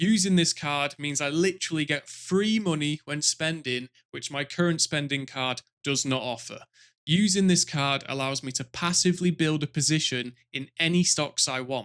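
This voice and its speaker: A British accent in a very clean recording with a silent background, dry and close with no echo. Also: man, fairly high pitch for a man, ordinary pitch variation, moderate pace. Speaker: finance YouTuber. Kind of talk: product review monologue. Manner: animated.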